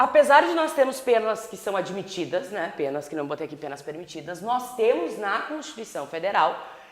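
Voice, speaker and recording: Her medium pitch swinging very widely, a woman speaks with audible room echo. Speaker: law professor. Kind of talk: lecture.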